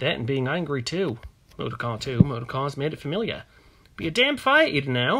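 An unforced reading voice carries the clip.

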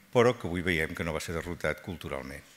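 A man talks with a very deep, low pitch. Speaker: panel speaker. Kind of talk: formal speech. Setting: stage with audience. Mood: calm, reflective. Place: hall. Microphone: podium.

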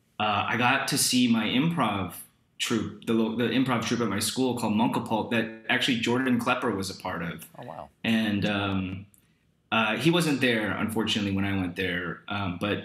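A man speaks at a moderate speed, with audible echo from the room around him. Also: ordinary pitch variation, quiet background. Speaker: remote talk show guest. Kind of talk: interview answer. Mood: relaxed, reflective. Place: home room.

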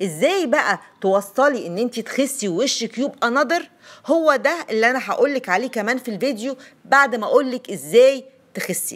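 Speaking at a moderate pace with a high pitch and lively intonation, a woman with an Egyptian accent is heard in a very clean recording with a silent background. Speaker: lifestyle YouTuber. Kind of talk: vlog monologue, personal weight-loss story and tips. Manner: chatty, conversational.

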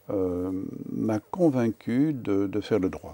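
A man speaks at a very slow pace with a fairly low pitch and ordinary pitch variation. His tone is dark and mellow. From Wallonia, Belgium (Namur, Verviers); Wallonia, Belgium. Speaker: lawyer; interviewee. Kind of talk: interview. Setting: TV studio. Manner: hesitant, repeats words. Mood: calm, reflective, thoughtful. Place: studio. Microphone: lapel.

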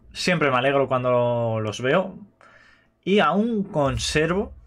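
A man with an Aragonese accent speaks in a fairly high pitch, his intonation lively. The background is quiet. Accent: Spanish from Spain (Aragon). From Spain. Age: 20s. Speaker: gaming youtuber. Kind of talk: casual chat. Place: home room. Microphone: webcam.

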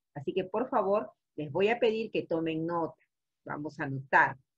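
A woman at a fairly slow pace, her pitch swinging very widely, against a quiet background. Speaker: teacher. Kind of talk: online class lecture. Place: home room. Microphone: webcam.

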